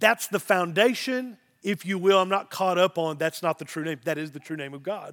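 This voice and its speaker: A high-pitched man with a Southern Missouri accent, moderate pace, ordinary pitch variation, big swings in loudness, and a dry, close sound with no echo. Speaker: pastor. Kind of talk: sermon. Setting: church.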